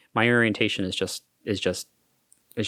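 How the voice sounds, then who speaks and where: In an American accent, a man with a fairly low pitch speaks at a moderate pace in a serious tone, the sound dry and close with no echo. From Florida. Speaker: hotel manager. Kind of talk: podcast interview. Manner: lowers voice at work to sound serious; halting with repetitions.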